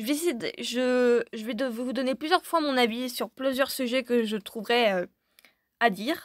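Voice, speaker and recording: A woman's high-pitched voice at a fairly slow pace, on a very clean recording with a silent background. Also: ordinary pitch variation, dry, close sound with no echo. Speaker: gaming YouTuber. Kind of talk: video outro, casual talk to viewers. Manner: stammering.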